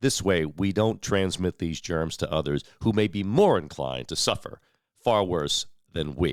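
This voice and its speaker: A man with a very deep, low pitch and vocal fry speaks at a moderate pace with ordinary pitch variation. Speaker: local news host. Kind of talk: community news show. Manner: conversational.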